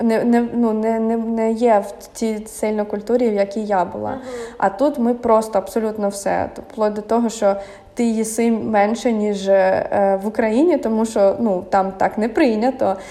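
With noticeable background noise, a woman speaks at a moderate pace in a fairly high pitch and fairly even intonation. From Ukraine, Kyiv. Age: 30s. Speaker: YouTuber and emigrant. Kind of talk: interview. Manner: halting, many fillers.

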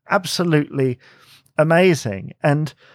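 Recorded very cleanly against a silent background, a man with a fairly high voice speaks very slowly in a dry, close sound with no echo. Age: 30s. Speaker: podcast host. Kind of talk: casual monologue. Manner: hesitant, many fillers.

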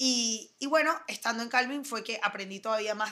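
Speaking at a moderate pace, a woman with a normal speaking voice has a fairly high pitch and ordinary pitch variation. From Venezuela, Caracas. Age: 30s. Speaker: fashion designer. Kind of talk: interview. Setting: office.

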